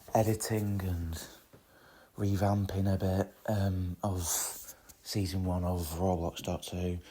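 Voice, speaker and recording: A man's very deep, low voice, dark and mellow in tone and somewhat breathy, monotone and flat, at a very slow pace with long, frequent pauses. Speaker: podcast host and amateur video creator. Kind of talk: casual solo podcast chat.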